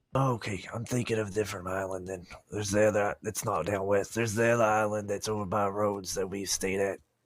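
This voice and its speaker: Doing a raspy put-on character voice, a man rattles along at a very fast pace with hardly any pauses, at a fairly low pitch with monotone, flat intonation. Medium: game stream. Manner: practical, organized.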